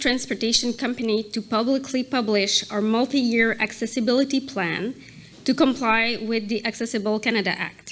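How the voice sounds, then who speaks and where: A woman speaks at a moderate pace with a non-native accent and fairly high pitch. Her intonation is fairly even, with noticeable background noise. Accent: non-native English accent, audible. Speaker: corporate accessibility advisor. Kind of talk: prepared speech at a gala.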